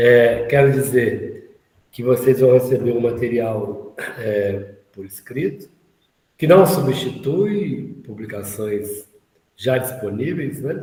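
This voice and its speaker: A man's very slow speech with lively intonation. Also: medium pitch for a man, big swings in loudness. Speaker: course instructor. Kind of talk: online lecture. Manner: halting.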